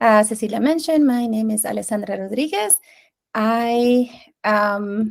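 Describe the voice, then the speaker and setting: With a Spanish accent, a woman speaks in a fairly high voice. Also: ordinary pitch variation, fairly slow pace. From Venezuela. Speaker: curriculum specialist. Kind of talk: presentation.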